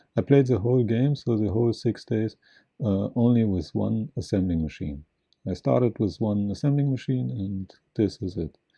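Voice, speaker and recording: Lively intonation and a moderate pace come through in this voice with a non-native accent. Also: man. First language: not English. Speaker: gaming video creator. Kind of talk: gameplay commentary. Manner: halting.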